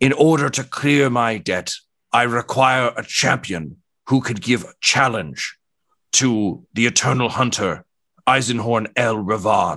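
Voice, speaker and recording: A man uses a put-on character voice at a medium pitch. He speaks at a fairly slow pace against a quiet background. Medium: actual play. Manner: condescending, grandly formal, sly.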